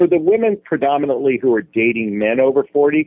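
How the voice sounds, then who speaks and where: This man's voice is an ordinary speaking voice, pitched fairly high. His intonation is lively and his pace is moderate. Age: 40s. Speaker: dating and relationship coach. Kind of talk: interview.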